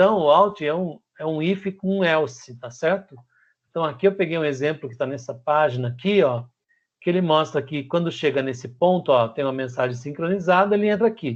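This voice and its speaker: Pitch variation stays ordinary as the words come at a fairly quick pace. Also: man, fairly high pitch for a man, quiet background. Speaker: teacher. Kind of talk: lecture. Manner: fast.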